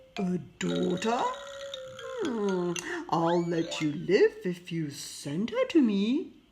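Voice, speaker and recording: In a put-on character voice, a woman growls at a medium pitch. She goes at a very slow pace with long, frequent pauses. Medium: read story. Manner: roaring, growling.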